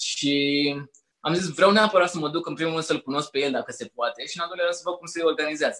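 This voice has a bright, sharp tone and fairly even intonation, moving at a very fast pace. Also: man, high pitch for a man. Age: 20s. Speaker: personal development content creator and notary. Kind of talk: casual chat.

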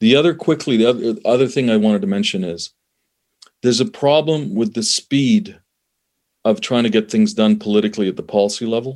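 A man with a Canadian accent speaks at a medium pitch with lively intonation. He has a normal speaking voice. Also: fairly quick pace. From Canada. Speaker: conflict resolution expert, former diplomat. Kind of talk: interview conversation.

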